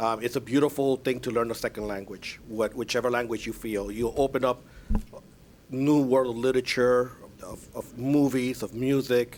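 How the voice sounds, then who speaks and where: A man speaks in a Spanish accent at a medium pitch. His pace is moderate and his intonation is monotone and flat. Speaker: school board chair. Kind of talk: public meeting remarks.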